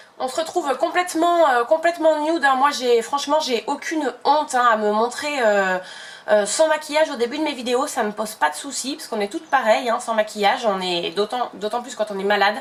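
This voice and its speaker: A woman's high voice with lively intonation and big swings in loudness, at a fairly quick pace, over noticeable background noise. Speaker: beauty YouTuber. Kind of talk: casual chat while doing makeup. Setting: home filming setup with umbrella light. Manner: chatty, many hesitations.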